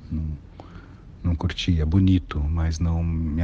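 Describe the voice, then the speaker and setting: A man's very deep, low voice at a very slow pace, monotone and flat, over noticeable background noise. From São Paulo, east zone (Guaianases). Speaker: actor, director and circus artist. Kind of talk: interview, personal career story.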